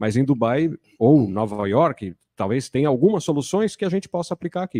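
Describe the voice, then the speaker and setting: Over a quiet background, a man talks at a moderate pace in a dark, mellow tone. His pitch swings very widely, and the sound is dry and close with no echo. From Brazil, São Paulo city. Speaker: panel moderator. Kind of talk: panel discussion.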